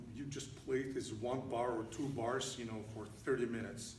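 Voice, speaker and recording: A man speaks with a Russian accent in a space with audible room echo and noticeable background noise. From Russia, Saint Petersburg. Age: 60s. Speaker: pianist and composer. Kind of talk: lecture and demonstration to piano students. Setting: church with a small audience. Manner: animated, conversational with hesitations.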